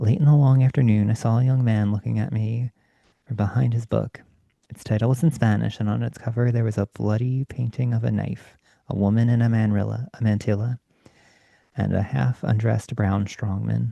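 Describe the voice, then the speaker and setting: Here a man speaks in a calm tone that is dark and mellow, somewhat breathy. His intonation stays fairly even. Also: medium pitch for a man, dry, close sound with no echo. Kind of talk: bedtime story reading, ASMR. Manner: soft-spoken, calm.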